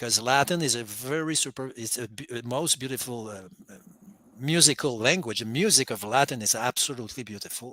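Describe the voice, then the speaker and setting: A man with a non-native accent speaks at a medium pitch in a bright, sharp tone. His pitch varies in an ordinary way, and his loudness swings widely. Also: very clean recording, silent background. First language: not English. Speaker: caller on a Bible call-in show. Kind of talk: casual theological discussion. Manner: halting, with many repeated words.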